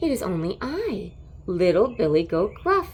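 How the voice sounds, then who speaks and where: A woman performs a put-on character voice at a moderate pace. Light background noise sits behind her. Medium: read story.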